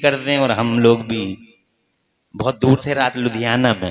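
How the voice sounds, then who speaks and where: A man uses fairly even intonation in an ordinary speaking voice. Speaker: Islamic preacher giving a sermon. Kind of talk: religious sermon to a live gathering. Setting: public address at a large religious gathering. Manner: fervent, rhetorical, speaking to the crowd.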